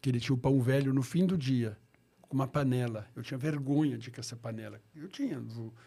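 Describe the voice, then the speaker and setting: The voice is dark, mellow and somewhat breathy, moving at a fairly quick pace with ordinary pitch variation and big swings in loudness. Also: man, medium pitch for a man. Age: 60s. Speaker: pastor. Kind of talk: interview.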